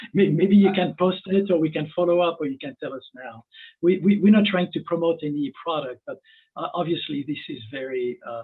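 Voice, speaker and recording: A man's high voice with a French accent, fairly quick, with ordinary pitch variation and big swings in loudness. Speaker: webinar host. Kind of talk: webinar interview. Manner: halting.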